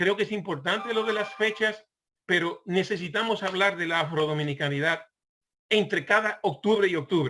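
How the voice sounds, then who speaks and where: This man talks with a high pitch and ordinary pitch variation. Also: moderate pace. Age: 60s. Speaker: online portal founder, commentator. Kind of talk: panel discussion remarks. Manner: halting, many fillers and repetitions.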